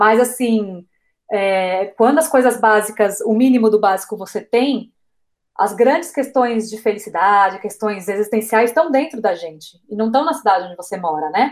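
With an ordinary speaking voice, a woman talks at a moderate pace in a fairly high pitch with ordinary pitch variation. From Brazil, interior of São Paulo state. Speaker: travel blogger. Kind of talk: casual interview chat.

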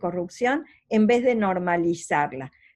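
Using lively intonation, a woman speaks at a very slow pace. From Argentina. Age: 60s. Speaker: anti-corruption organization president, lawyer. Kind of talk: interview.

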